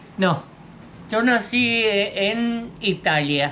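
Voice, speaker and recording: Her intonation lively, a woman talks in a Rioplatense accent. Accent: Argentine Rioplatense Spanish. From Argentina, Buenos Aires province countryside. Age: 80s+. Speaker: horse tamer and rural worker. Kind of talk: interview answer.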